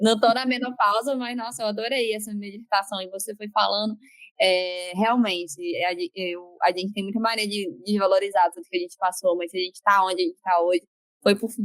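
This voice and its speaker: A woman with a normal speaking voice talks at a fairly quick pace in a medium pitch with ordinary pitch variation, in a dry, close sound with no echo. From Brazil. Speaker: podcast host, psychologist. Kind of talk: podcast interview.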